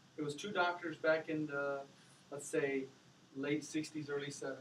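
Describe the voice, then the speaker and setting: The pace is moderate. Room echo can be heard. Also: man. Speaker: parent sharing story as guest speaker. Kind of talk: classroom talk. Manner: halting.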